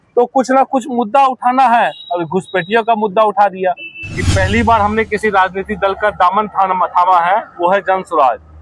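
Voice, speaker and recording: A man's high voice at very even loudness, with a dry, close sound with no echo and music in the background. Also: ordinary pitch variation. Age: 30s. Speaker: party youth wing organiser. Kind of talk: political interview. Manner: animated, rhetorical.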